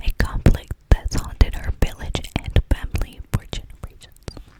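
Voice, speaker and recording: A woman whispers at a fairly slow pace in a dry, close sound with no echo, with noticeable background noise behind her. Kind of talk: reading a book synopsis aloud. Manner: soft whispered.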